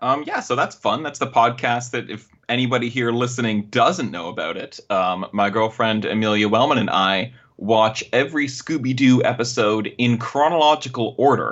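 A man's medium-pitched voice with a slight Canadian accent, moderate pace, ordinary pitch variation and hardly any pauses. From Canada. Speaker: podcast guest. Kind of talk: casual chat. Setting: remote recording over internet.

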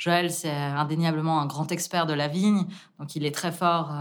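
A woman speaks in a very deep, low register with fairly even intonation. Audible room echo surrounds her voice. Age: 20s. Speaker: winemaker. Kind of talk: interview.

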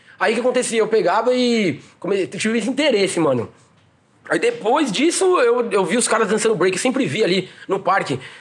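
Noticeable background noise sits behind a man with a high pitch and lively intonation. He talks at a fairly quick pace, his loudness very even. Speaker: breakdancer. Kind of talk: casual chat.

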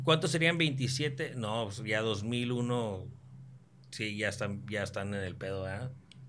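Music plays in the background and audible room echo surrounds speech at a very slow pace with big swings in loudness and ordinary pitch variation. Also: man. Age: 30s. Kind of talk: casual chat.

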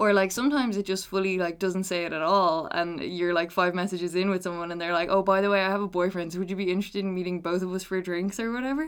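Speaking in an Irish accent at a very fast pace, a woman with medium pitch and fairly even intonation leaves hardly any pauses. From Ireland. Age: 20s. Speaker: podcast guest. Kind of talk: casual chat.

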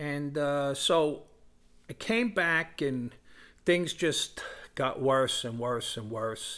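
In a New York accent, a man speaks at a very slow pace with long, frequent pauses, his tone bright and sharp at a fairly high pitch. The recording is very clean, with a silent background. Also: lively intonation. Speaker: recovering alcoholic, former firefighter. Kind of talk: testimony.

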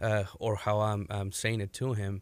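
A man speaks with monotone, flat intonation. The recording is very clean, with a silent background. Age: 20s. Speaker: MMA coach. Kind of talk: interview.

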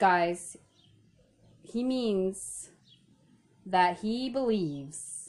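Long, frequent pauses mark a woman's very slow speech, delivered at a medium pitch with lively intonation. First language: not English. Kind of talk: casual chat.

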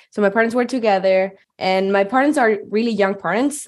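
A woman at medium pitch, ordinary pitch variation, with a Spanish accent. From Chile, Santiago. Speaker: improviser and geology PhD student. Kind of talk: personal storytelling.

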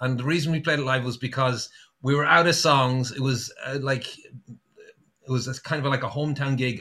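A man speaks in a fairly high pitch. His tone is bright and sharp. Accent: Irish. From Ireland, Sligo. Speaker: singer-songwriter. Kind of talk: casual chat. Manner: halting.

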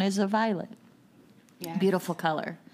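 A woman with a normal speaking voice, medium in pitch, with fairly even intonation. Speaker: podcast host. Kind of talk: casual chat.

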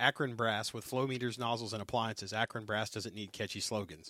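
A man with a Southern US accent, medium pitch and fairly even intonation, on a very clean recording with a silent background. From US South. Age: 40s. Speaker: podcast host and firefighter. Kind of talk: casual chat. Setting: studio.

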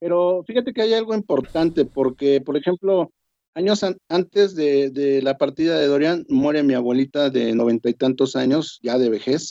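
Lively intonation from a man with a fairly high pitch and a dark, mellow tone, at a moderate pace, with very even loudness and a dry, close sound with no echo. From Mexico. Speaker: bereaved parent. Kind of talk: panel discussion.

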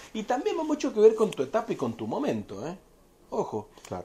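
Here a man speaks at a fairly quick pace. His tone is dark and mellow. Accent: Cuyo Argentine. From Argentina, Mendoza. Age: 30s. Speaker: winery representative. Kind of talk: interview about wine. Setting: in person.

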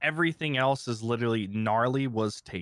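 A man's plain, everyday voice with an American accent, medium pitch and ordinary pitch variation, on a very clean recording with a silent background and a dry, close sound with no echo. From Ohio. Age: 30s. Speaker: streamer and content creator. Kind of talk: casual interview chat.

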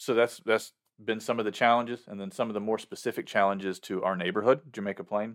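A man talks very fast with a Southern US accent and a medium pitch. His intonation is fairly even, on a very clean recording with a silent background. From US South, upstate South Carolina. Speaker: worship pastor. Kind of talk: casual interview.

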